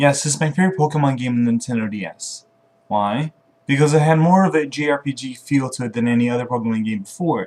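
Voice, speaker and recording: Here a man talks at a very fast pace. His medium pitch shows ordinary variation. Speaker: gaming video creator. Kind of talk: scripted video game top-ten list read to camera. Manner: occasionally stutters.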